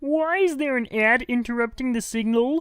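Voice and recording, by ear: In a cartoonish character voice, a woman speaks at a high pitch and a moderate pace with ordinary pitch variation.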